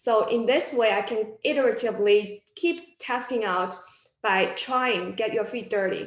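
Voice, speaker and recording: A woman with a fairly high pitch speaks with a non-native accent. Her pace is fairly slow. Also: ordinary pitch variation. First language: not English. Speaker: physics alumna working in data science. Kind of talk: panel discussion. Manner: halting.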